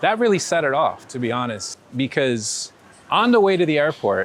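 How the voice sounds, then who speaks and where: A man with a New York accent speaks in an animated tone. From New York (born in Ecuador). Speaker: street photographer. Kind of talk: casual interview storytelling. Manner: animated, hesitant with repeated words.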